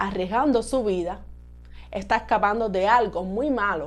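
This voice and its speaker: A woman's lively intonation and vocal fry at a moderate pace. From Cuba. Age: 30s. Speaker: YouTuber. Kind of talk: personal vlog introduction.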